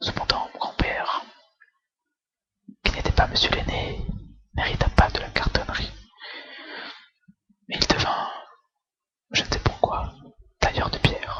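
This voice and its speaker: Someone whispers at a fairly slow pace. Long, frequent pauses recur throughout. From France. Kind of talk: whispered book reading for relaxation. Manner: whispered, soft, slow.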